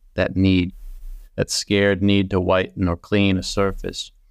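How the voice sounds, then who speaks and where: A man with an American accent speaks at a fairly slow pace in a very deep, low pitch. The recording is very clean, with a silent background. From Massachusetts, US. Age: middle-aged. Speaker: poet. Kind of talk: interview conversation; poetry reading. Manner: halting, many fillers.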